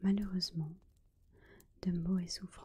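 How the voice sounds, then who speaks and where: The fairly slow speech comes from someone soft-spoken. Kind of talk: bedtime story reading (ASMR).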